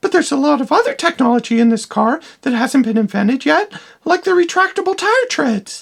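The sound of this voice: This cartoonish character voice is high-pitched and moves at a fairly quick pace.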